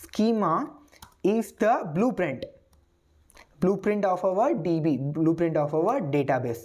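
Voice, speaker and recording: There's audible room echo as a woman speaks very slowly in a dark, mellow, medium-pitched voice. Her pitch swings very widely. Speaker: programming instructor. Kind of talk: lecture. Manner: repetitive, hesitant with fillers.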